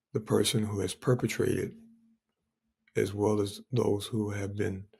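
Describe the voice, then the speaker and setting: The speaker keeps a moderate pace in a somewhat breathy voice. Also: man. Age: 60s. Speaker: pastor. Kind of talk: podcast interview.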